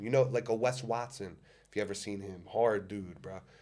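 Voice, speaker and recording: A man with a strong New Jersey accent talks at a fairly quick pace. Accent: strong New Jersey American. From US, New Jersey. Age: 20s. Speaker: public figure and motivational speaker. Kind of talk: podcast interview. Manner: animated.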